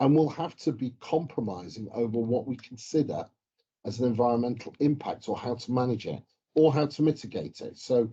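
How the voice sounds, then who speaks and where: A man speaks with an English accent in a dark, mellow tone. He talks at a fairly quick pace. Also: medium pitch for a man, ordinary pitch variation. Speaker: mining geochemist. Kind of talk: casual chat.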